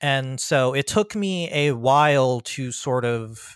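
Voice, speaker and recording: In a normal speaking voice, a man with an American accent talks at a fairly high pitch with lively intonation. The sound is dry and close with no echo, in a very clean recording with a silent background. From US Mid-Atlantic (Prince George's County, Maryland). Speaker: freelance tabletop game writer. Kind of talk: casual interview.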